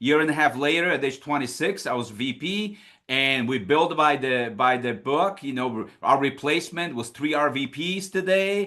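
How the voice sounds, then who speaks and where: A man with a Polish accent, energetic in tone, fairly high-pitched with ordinary pitch variation, at a moderate pace. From Poland. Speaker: financial services business leader. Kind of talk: recruiting presentation.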